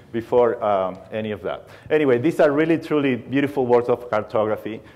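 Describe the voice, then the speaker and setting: A man with a Spanish accent talks at a fairly quick pace with ordinary pitch variation. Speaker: aerospace engineer. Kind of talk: conference talk. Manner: humorous.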